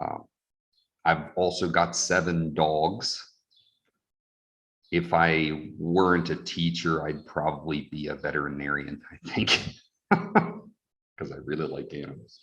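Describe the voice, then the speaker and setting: A man's very deep, low voice, monotone and flat in intonation, at a fairly slow pace. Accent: American. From US Mid-Atlantic, northern Delaware near Philadelphia. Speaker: English teacher. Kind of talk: workshop introduction.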